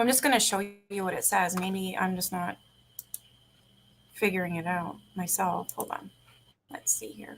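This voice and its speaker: A woman's medium-pitched voice with vocal fry, big swings in loudness and long, frequent pauses. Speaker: true crime livestreamer. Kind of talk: casual chat. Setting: livestream. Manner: fast.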